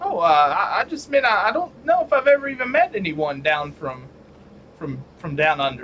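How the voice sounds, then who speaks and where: A man puts on a drawling character voice, high in pitch. He speaks at a moderate pace with very wide pitch swings. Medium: actual play. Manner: drawling, genteel.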